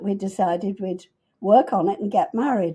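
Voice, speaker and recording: A woman with an American accent speaks at a moderate pace and medium pitch, her tone dark and mellow and somewhat breathy. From Liverpool, England. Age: 90s. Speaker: businesswoman, family matriarch. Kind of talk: interview storytelling.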